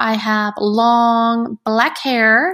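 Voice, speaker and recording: With a Spanish accent, a woman speaks at a fairly high pitch. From United States, Spanish-speaking household. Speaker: podcast host. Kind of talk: casual monologue.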